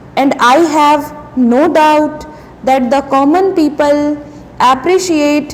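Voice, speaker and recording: Her voice is high, with ordinary pitch variation and a very slow pace. Noticeable background noise sits behind this woman. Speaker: shorthand dictation reader. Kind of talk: shorthand dictation at a set speed, formal political speech text. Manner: slow, measured, deliberate pace.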